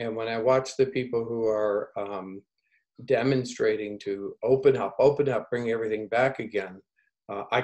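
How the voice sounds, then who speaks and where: Delivered at a moderate pace, this is an ordinary speaking voice. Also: man. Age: 60s. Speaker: researcher, former nurse in Africa. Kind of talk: community video call discussion.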